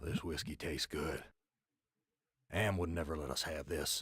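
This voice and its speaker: A man's put-on character voice, raspy and very deep in pitch, at a moderate pace. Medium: video game.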